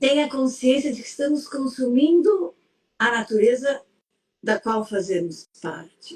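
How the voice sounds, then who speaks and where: Speaking at a fairly slow pace, a woman uses a high pitch that swings very widely. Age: 70s. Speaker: psychologist. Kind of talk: interview conversation. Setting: live stream.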